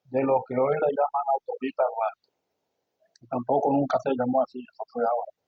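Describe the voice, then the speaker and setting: At a moderate pace, a man speaks in a monotone with flat intonation and a fairly high pitch. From Dominican Republic, Santo Domingo. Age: 80s+. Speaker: elderly witness to history. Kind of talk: interview.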